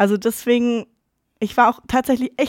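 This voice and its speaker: A woman with a plain, everyday voice talks at a fairly quick pace with fairly even intonation, the very clean recording dry and close with no echo over a silent background. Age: 20s. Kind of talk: casual interview. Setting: studio.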